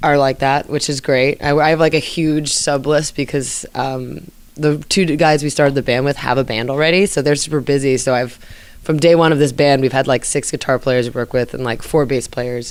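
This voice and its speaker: A woman with an American accent, very deep, low pitch, ordinary pitch variation and a fairly quick pace. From New Jersey. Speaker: jazz vocalist and band leader. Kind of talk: interview. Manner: casual, lots of filler words.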